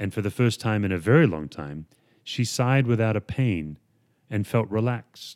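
Lively intonation in an unforced reading voice.

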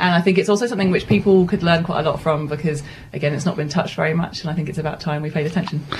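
Over noticeable background noise, a woman speaks at a very fast pace with a fairly low pitch and ordinary pitch variation. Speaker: event organiser and speaker. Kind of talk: radio interview, casual chat.

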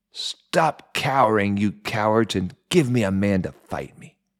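The speaker uses a put-on character voice. The delivery moves at a fairly slow pace. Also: man, fairly low pitch for a man. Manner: challenging, taunting.

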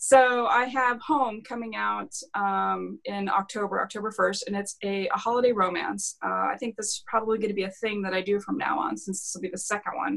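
A woman talks with hardly any pauses. Noticeable background noise is present. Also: fairly quick pace. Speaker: author, award winner. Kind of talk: casual interview chat. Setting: video call.

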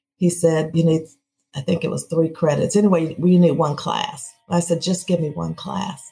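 A woman's fairly low voice with an American accent, at a moderate pace, music playing in the background. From US Midwest (Peoria, Illinois). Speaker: city mayor. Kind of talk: interview.

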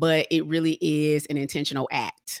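A woman's very deep, low voice in an American accent, monotone and flat, dry and close with no echo, on a very clean recording with a silent background. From Atlanta, US South. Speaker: relationship coach. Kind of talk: interview.

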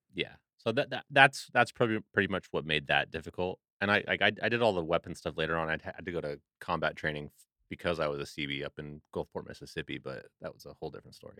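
A man with an American accent speaks at a very fast pace, his very deep, low pitch carrying lively intonation and a bright, sharp tone, with big swings in loudness and a dry, close sound with no echo. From Seattle, Washington. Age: 30s. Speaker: Navy veteran, audio engineer. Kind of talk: casual chat.

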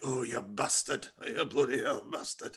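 In a put-on character voice, a man speaks with a Northern English accent at a moderate pace. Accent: North English.

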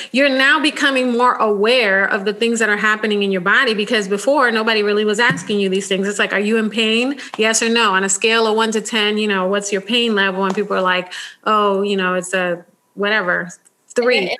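With an American accent, a woman talks at a fairly quick pace and a fairly high pitch. Her loudness stays very even. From United States, Dominican parents. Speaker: nurse and podcast host. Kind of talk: casual interview chat. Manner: animated.

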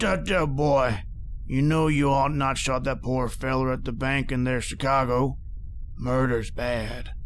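Clear background noise sits behind a man speaking. His pace is fairly slow and his pitch is medium. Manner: calm, folksy, unhurried, quietly menacing.

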